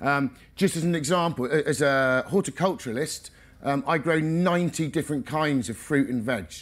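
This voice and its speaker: A man uses a normal speaking voice with a fairly high pitch and ordinary pitch variation. He speaks at a moderate pace. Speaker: organic vegetable farmer; speaker. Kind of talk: conference talk. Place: tent.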